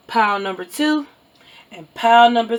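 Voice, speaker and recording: A woman speaks in a Southern US accent at a moderate pace with ordinary pitch variation. Background noise is noticeable. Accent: Southern, country. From US South. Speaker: tarot reader. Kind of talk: tarot reading. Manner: energetic, caffeinated, stumbling over words.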